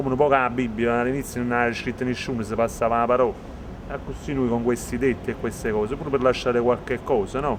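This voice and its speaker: Speaking very fast, a man keeps a monotone, flat intonation. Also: medium pitch for a man. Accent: Neapolitan. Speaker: rapper. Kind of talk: interview. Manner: halting.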